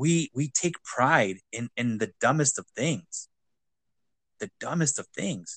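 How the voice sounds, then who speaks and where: A man with an American accent speaks at a very slow pace, his fairly high pitch marked by vocal fry. His intonation is lively, and the sound is dry and close with no echo. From US, grew up poor in an urban neighborhood. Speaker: podcast host. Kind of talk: casual conversation.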